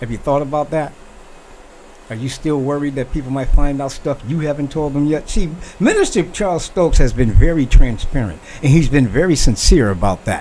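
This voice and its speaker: Over noticeable background noise, a man speaks at a fairly quick pace in an animated tone, his pitch fairly high with ordinary variation. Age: 60s. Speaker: talk show host. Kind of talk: opinion monologue.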